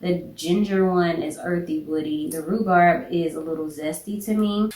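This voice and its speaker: Against noticeable background noise, a woman speaks in a fairly low, animated voice. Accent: slight Southern. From US South. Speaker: beauty and fragrance YouTuber. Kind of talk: casual product review vlog. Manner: chatty, animated.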